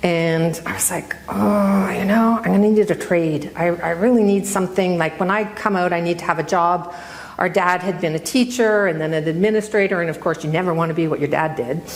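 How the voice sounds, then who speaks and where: A woman with a Canadian accent talks at a fairly quick pace and fairly low pitch with ordinary pitch variation and hardly any pauses, amid noticeable background noise and audible room echo. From central Ontario, Canada. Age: 60s. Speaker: retired newspaper editor. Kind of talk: public talk. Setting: stage with audience. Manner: conversational, self-correcting.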